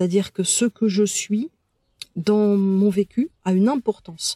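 A woman speaks fairly slowly with fairly even intonation and a dark, mellow tone. The sound is dry and close, with no echo. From France, childhood partly in Algeria. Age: 50s. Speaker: medium and therapist. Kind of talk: interview. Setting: in person. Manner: halting, many hesitations.

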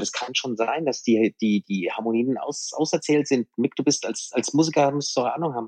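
A man speaks at a fairly quick pace, medium in pitch with ordinary pitch variation. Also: dry, close sound with no echo. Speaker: rock music DJ. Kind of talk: casual chat. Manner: determined.

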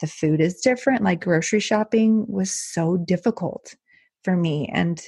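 Against a quiet background, a woman with an American accent speaks at a moderate pace, with vocal fry and ordinary pitch variation. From Texas, El Paso. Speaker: podcast host, expat parent. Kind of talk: casual interview.

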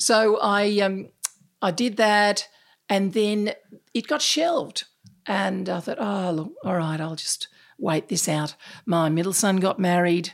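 The speaker has an Australian accent and ordinary pitch variation. The pace is very slow, with long, frequent pauses. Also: woman, medium pitch for a woman. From Australia, Sydney. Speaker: unconscious bias speaker and author. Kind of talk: interview. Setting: in person across a table.

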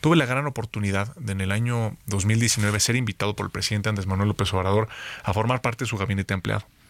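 A man at a fairly low pitch with ordinary pitch variation and a very fast pace, on a very clean recording with a silent background. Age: 30s. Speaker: politician. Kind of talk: interview. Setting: studio.

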